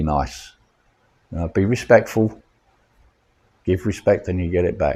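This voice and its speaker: A man speaks at a moderate pace with a fairly low pitch, ordinary pitch variation and a somewhat breathy voice. Long, frequent pauses come through on a very clean recording with a silent background. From London, England. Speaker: vlogger. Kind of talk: casual vlog chat. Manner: halting, many fillers.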